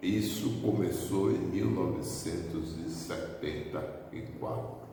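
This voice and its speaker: A very deep, low male voice at a very slow pace with lively intonation, amid noticeable background noise and audible room echo. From Bahia, Brazil (Baixo Sul). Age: 70s. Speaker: spiritist medium. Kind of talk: testimony.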